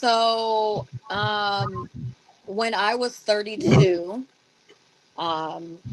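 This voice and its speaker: Speaking at a very slow pace with long, frequent pauses, a woman uses lively intonation at a medium pitch. Noticeable background noise runs underneath. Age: 40s. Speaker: podcast co-host. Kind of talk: casual chat.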